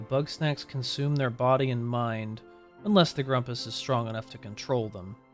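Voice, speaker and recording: A man talks at a moderate pace and medium pitch, with ordinary pitch variation. His loudness swings widely, and music plays in the background. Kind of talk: video game lore narration. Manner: chill.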